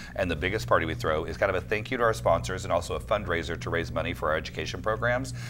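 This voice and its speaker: A man with an American accent, a bright, sharp tone, very deep, low pitch, vocal fry and very wide pitch swings, at a very fast pace with hardly any pauses, over noticeable background noise. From Oklahoma (Alva). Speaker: film festival director. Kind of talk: casual interview. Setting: studio. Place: studio. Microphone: lapel.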